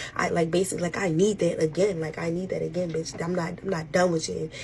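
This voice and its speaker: Whispered speech from a woman, noticeable background noise behind it. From Baltimore, Maryland. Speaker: social media storyteller. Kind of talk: storytime rant. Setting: at work. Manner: animated; whispering.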